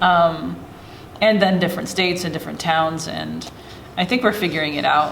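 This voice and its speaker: With a Pacific Northwest accent, a woman speaks at a moderate pace amid noticeable background noise and audible room echo. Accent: US West Coast (Pacific Northwest). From Oregon, small town (Corbett). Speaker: middle school science teacher. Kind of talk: casual chat. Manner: halting.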